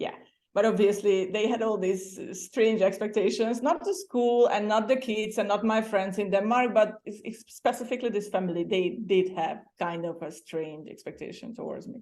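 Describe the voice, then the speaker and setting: With a Hungarian accent, a woman talks in a fairly high voice that shows big swings in loudness. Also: ordinary pitch variation, moderate pace. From Hungary. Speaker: former exchange student. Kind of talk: interview. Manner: halting.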